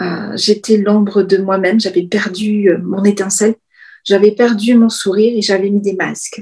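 At a very slow pace, a woman talks with fairly even intonation. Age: 50s. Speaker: business coach. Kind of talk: interview.

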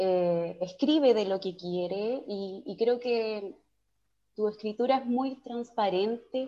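This woman has a fairly high pitch. She speaks at a very slow pace. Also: ordinary pitch variation. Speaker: podcast host. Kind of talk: interview.

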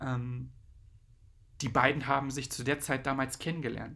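A man's medium-pitched, bright and sharp voice with vocal fry, flat monotone intonation and a fairly slow pace. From eastern Germany (Brandenburg / Saxony-Anhalt, Magdeburg area). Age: 30s. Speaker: DJ and podcast host. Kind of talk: casual solo podcast monologue. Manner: hesitant, many filler sounds.

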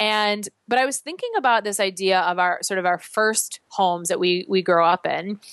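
In an American accent, a woman with an unremarkable speaking voice and a medium pitch talks at a moderate pace with hardly any pauses and ordinary pitch variation, in a dry, close sound with no echo. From US Midwest, Chicago. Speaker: fitness instructor. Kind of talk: casual chat; guided exercise instructions.

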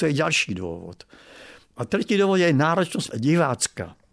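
A man at a fairly slow pace. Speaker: opera critic. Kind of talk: interview.

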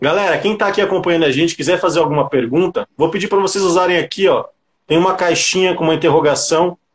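Speaking at a very fast pace, a man uses a high pitch. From São Paulo, Grajaú (south zone). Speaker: livestream host. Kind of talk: casual interview on a livestream.

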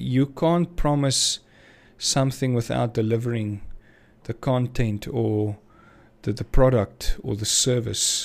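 A man talks at a very slow pace, leaving long, frequent pauses. His pitch is medium, with ordinary variation. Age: 30s. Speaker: small business owner. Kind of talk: casual monologue podcast. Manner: hesitant, many fillers.

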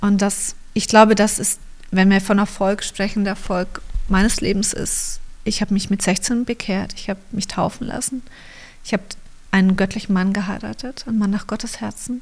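A woman's somewhat breathy, monotone voice with flat intonation at a moderate pace. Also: medium pitch for a woman. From Allgäu, Bavaria, southern Germany. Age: 40s. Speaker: photographer and church co-founder, mother. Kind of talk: casual interview conversation. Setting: home studio.

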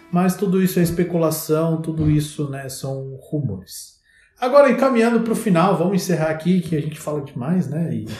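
A man with an unremarkable speaking voice talks at a fairly quick pace, his fairly high pitch rising and falling in lively intonation. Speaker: podcast host. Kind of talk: casual chat.

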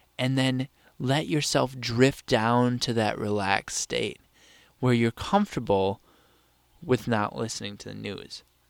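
In a very clean recording with a silent background and a dry, close sound with no echo, a man speaks at medium pitch and a fairly slow pace with ordinary pitch variation. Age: 19. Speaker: podcast host. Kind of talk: solo casual monologue. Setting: home. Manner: casual, filler-heavy.

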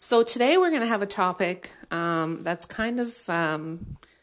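A woman with a plain, everyday voice at a fairly slow pace and ordinary pitch variation, on a very clean recording with a silent background. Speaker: podcast host and life coach. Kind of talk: solo podcast monologue on mental health. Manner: casual, friendly, conversational.

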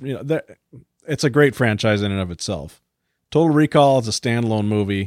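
On a very clean recording with a silent background, a man with a normal speaking voice and medium pitch talks at a fairly quick pace with lively intonation. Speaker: podcast host. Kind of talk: casual banter. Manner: jokey, playful.

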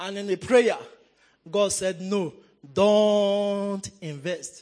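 This is a man's voice. His pitch is high. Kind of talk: fervent preacher-led prayer, call-and-response with congregation. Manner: rousing, emphatic, commanding, repeating phrases for the crowd to echo; pastoral, urgent and rhythmic, inviting people to pray along.

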